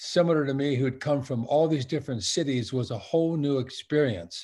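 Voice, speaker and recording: At a moderate pace and medium pitch, a man sounds somewhat breathy with ordinary pitch variation on a very clean recording with a silent background. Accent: American. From Southern California, Long Beach. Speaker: retired-age sportswear company veteran, alumni speaker. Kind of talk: interview. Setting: virtual event.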